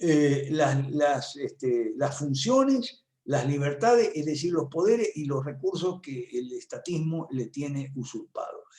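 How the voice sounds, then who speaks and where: A man's fairly high, somewhat breathy voice with a dark, mellow tone, at a fairly slow pace with hardly any pauses and ordinary pitch variation. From Argentina. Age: 70s. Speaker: political analyst and professor. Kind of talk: talk at an online conference. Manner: conversational with many fillers.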